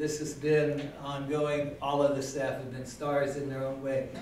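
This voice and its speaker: Over light background noise and audible room echo, a man talks at a fairly slow pace. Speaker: city councilmember. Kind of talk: farewell speech at meeting. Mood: warm, reflective, lightly humorous. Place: meeting room.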